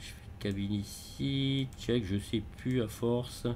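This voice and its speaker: A man speaks at a very slow pace. Room echo is audible around him. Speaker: flight simulator gamer. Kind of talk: gameplay commentary. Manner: halting, many hesitations.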